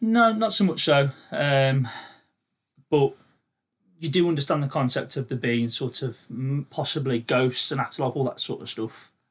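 Somewhat breathy, a man speaks at a moderate pace with lively intonation and long, frequent pauses. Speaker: amateur paranormal investigator. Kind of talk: casual chat. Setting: home studio.

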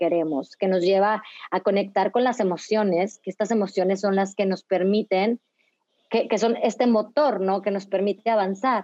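A woman speaks at a moderate pace with a medium pitch and very even loudness. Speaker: psychologist and dance facilitator. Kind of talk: casual interview. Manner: halting with repetitions.

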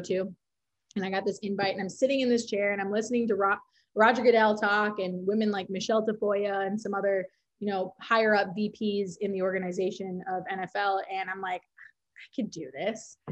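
In a Minnesotan accent, a woman speaks at medium pitch and a moderate pace with monotone, flat intonation over a quiet background. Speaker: social media coordinator. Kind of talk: casual interview.

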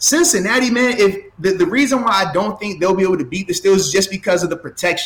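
Delivery is very fast, with ordinary pitch variation. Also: man, high pitch for a man, hardly any pauses. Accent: American. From Virginia, Portsmouth. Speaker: former pro football player. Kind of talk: casual chat.

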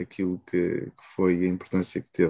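In a dry, close recording with no echo, a man talks at a moderate pace with a dark, mellow tone. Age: young. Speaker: podcast host. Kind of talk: interview.

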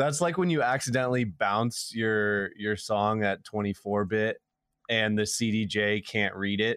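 A man has an unremarkable speaking voice with a fairly low pitch. He talks at a fairly slow pace with very even loudness. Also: ordinary pitch variation. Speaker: podcast co-host. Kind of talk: casual podcast chat.

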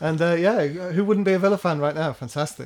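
A man talks at a very fast pace in a high pitch. His intonation stays fairly even. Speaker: podcast co-host. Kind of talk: casual chat about football.

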